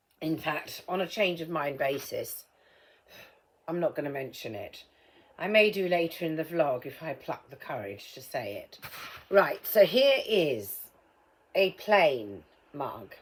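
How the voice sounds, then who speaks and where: Using a fairly low pitch with vocal fry, a woman speaks at a fairly slow pace, with very wide pitch swings, big swings in loudness and long, frequent pauses. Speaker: vlogger. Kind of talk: casual vlog while painting a mug. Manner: muffled, as if ball in mouth; hesitant, many ums.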